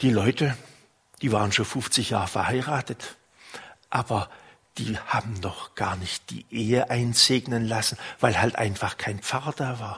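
Speaking at a fairly slow pace with long, frequent pauses, a man has a warm tone, medium pitch and fairly even intonation. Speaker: priest. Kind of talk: sermon. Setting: church. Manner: warm, unhurried storytelling, pastoral and personal.

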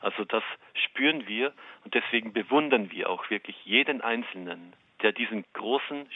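Man with an unremarkable speaking voice, medium pitch, ordinary pitch variation and a fairly slow pace. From Austria, Waldviertel (Lower Austria). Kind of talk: interview. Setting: phone call.

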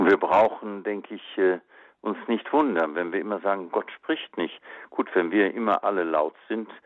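An unremarkable speaking voice from a man, moderate in pace, fairly low-pitched, with ordinary pitch variation. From Germany, western Münsterland. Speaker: auxiliary bishop. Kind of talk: radio interview. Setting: phone call.

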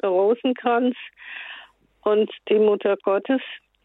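A woman is talking here. Her voice sits at a fairly high pitch. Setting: phone call.

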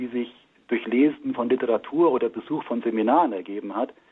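An unremarkable speaking voice from a man of medium pitch at a fairly quick pace. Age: 60s. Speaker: engineer and marriage communication trainer. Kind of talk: radio interview. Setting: remote line into radio studio.

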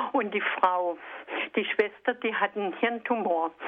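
A woman at a fairly high pitch and fairly slow pace, with ordinary pitch variation. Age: 60s. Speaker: radio listener caller. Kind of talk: phone-in complaint. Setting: phone call. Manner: halting.

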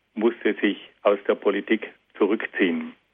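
This is a man speaking. His pace is fairly slow. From South Tyrol, Italy. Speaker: philosophy lecturer. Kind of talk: lecture. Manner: formal.

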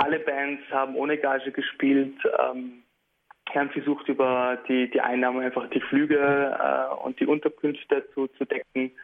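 A man delivers his words at a fairly slow pace in a monotone, flat intonation. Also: fairly high pitch for a man. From Beit Jala near Bethlehem, Palestine. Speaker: musician. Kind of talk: radio interview. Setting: remote line to radio studio. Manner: hesitant, many filler sounds.

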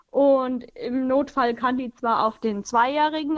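Her intonation fairly even, a woman speaks at a high pitch. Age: 20s. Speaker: radio caller, pregnant mother. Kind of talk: call-in conversation.

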